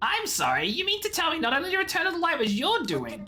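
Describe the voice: Someone uses a put-on character voice with an extremely high pitch, talking at a very fast pace.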